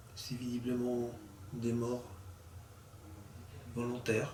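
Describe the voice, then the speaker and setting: A soft-spoken, calm voice at a very slow pace, flat and monotone, with audible room echo. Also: man. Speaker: paranormal investigator. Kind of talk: spirit-calling session during night investigation. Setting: dark room in an old mill at night. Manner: slow, calm and respectful.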